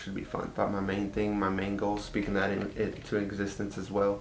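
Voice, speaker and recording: A man's fairly low, fairly quick speech in an American accent, with audible room echo and noticeable background noise. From Texas. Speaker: vlogger. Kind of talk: casual chat. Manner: casual, lots of fillers.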